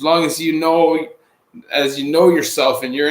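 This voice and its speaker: A man with a Canadian accent speaks in a normal speaking voice at a moderate pace, his pitch fairly high. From Canada, Greater Toronto Area. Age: 30s. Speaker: livestreamer, former prisoner. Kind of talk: live stream Q and A. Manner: casual.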